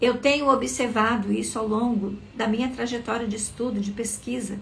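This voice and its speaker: Soft-spoken and fairly high-pitched, a woman talks at a moderate pace in a room with audible echo. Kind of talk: live motivational talk. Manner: expressive.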